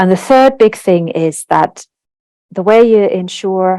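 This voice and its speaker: In a Finnish accent, a woman with a dark, mellow tone speaks at a fairly slow pace, the sound dry and close with no echo. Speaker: translation industry executive. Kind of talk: webinar presentation.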